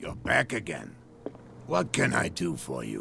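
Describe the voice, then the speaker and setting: Putting on a raspy character voice, a man talks at a moderate pace with clear background noise behind him. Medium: video game. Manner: measured.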